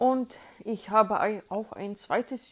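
A woman with a Swedish accent, fairly high in pitch and fairly even in intonation, on a very clean recording with a silent background. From Sweden, Uppsala. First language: Swedish (speaking German). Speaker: sound engineer. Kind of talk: interview.

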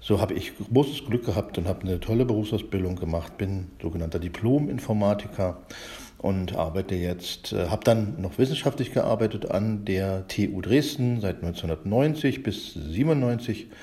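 At a fairly slow pace, a man speaks in a somewhat breathy, dark, mellow tone with fairly low pitch and lively intonation. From eastern Germany, Spreewald (Brandenburg). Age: 50s. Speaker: library director, computer scientist. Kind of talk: casual chat. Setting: recorded separately via chat app. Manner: halting, many fillers.

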